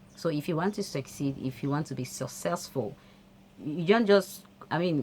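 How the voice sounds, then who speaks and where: This woman has a very deep, low voice with vocal fry and a non-native accent. She talks at a moderate pace. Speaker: motivational vlogger. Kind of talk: motivational talk to camera. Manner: hesitant, with fillers.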